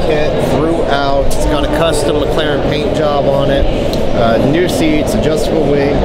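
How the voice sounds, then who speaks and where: There is loud background noise. Through it, this man speaks at a fairly slow pace. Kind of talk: interview answer. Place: hall. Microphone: phone near.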